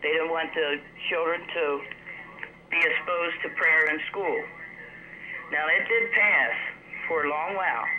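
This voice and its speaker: Long, frequent pauses break up a fairly slow delivery. Clear background noise sits beneath it. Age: 60s. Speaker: TV show caller. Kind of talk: call-in comment. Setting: phone call.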